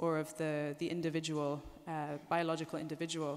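A woman speaks at a fairly quick pace with a fairly low pitch. Her intonation is monotone and flat. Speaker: speaker. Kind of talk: lecture. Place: hall. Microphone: podium.

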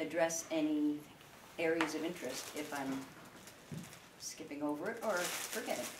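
A woman's voice under loud background noise. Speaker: sheep farmer and public speaker. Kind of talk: informal public talk to an audience. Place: home room. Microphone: camera far.

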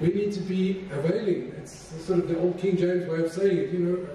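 A man talks at a moderate pace in a high pitch, his intonation fairly even. Room echo is audible.

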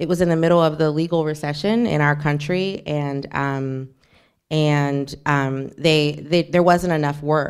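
A woman talks with a very deep, low pitch and fairly even intonation. The recording is very clean, with a silent background. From US South, New Orleans. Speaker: novelist. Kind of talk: author talk, bookshop event. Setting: bookshop event with audience.

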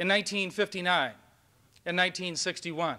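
Against a quiet background, a man with an American accent raises and projects his voice, its tone bright and sharp. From Minnesota. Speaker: university chancellor. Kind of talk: speech. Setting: stage with audience. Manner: animated. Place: hall. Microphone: old recording.

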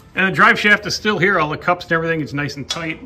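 Faint music runs in the background while a man talks. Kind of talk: casual vlog chat. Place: garage. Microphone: phone near.

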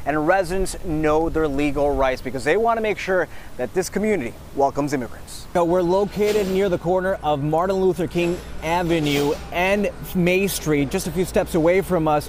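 A man's high-pitched voice at a moderate pace, with ordinary pitch variation and very even loudness, dry with no echo over light background noise. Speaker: TV news reporter. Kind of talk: TV news field reporting, live stand-up and packaged story voiceover. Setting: outdoors, live on location. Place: street. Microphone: lapel.

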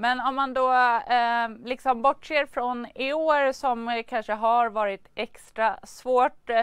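A woman's high-pitched voice, very slow and fairly even in intonation, dry with no echo against a quiet background. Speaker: news presenter. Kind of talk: news interview. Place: studio. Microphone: lapel.

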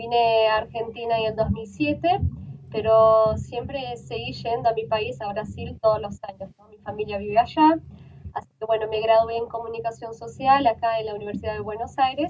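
There is light background noise as a woman with a fairly high pitch and ordinary pitch variation speaks with big swings in loudness. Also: moderate pace. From Brazil. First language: Portuguese (speaking Spanish). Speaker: journalist; journalist guest. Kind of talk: interview. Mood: calm, earnest. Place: home room. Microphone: video call.

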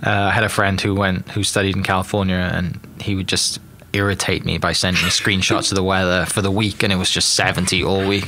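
Over light background noise, a man with a British accent talks fairly quickly at a fairly low pitch, his intonation fairly even and his loudness very even. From United Kingdom. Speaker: podcast host. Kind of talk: casual interview. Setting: studio. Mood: relaxed, friendly. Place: studio. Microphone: studio mic.

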